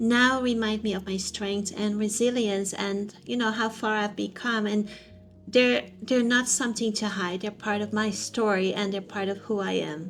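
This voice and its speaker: A woman's unremarkable speaking voice at a medium pitch and moderate pace, with fairly even intonation. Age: 50s. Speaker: personal growth vlogger. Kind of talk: casual talk to camera.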